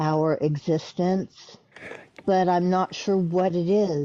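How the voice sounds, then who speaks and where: A woman speaks at a medium pitch and a very slow pace. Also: dry, close sound with no echo. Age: 60s. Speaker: caller. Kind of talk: casual chat.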